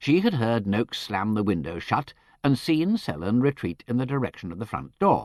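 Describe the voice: Someone reads aloud plainly.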